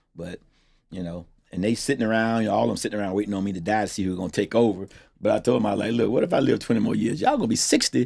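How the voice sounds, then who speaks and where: Very fast speech with vocal fry, on a very clean recording with a silent background. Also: man, fairly low pitch for a man, ordinary pitch variation. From Florida, Treasure Coast. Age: 60s. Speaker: towing business owner. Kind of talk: casual interview. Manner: animated.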